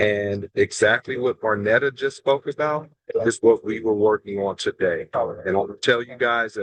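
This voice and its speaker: A plain, everyday voice from a man, medium in pitch with fairly even intonation, in a dry, close sound with no echo. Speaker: education official. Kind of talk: webinar remarks. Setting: video call from a plane.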